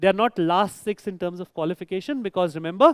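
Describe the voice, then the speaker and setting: Speaking with a Marathi accent and lively intonation, a man is heard on a very clean recording with a silent background and a dry, close sound with no echo. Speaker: quizmaster. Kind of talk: live quiz hosting. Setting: stage with audience. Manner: animated.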